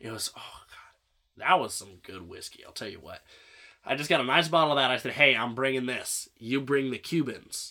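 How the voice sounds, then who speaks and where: With an American accent, a man speaks at a moderate pace and medium pitch, with ordinary pitch variation. His tone is bright and sharp, and his loudness swings widely. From central Illinois. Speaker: podcast host. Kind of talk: casual chat.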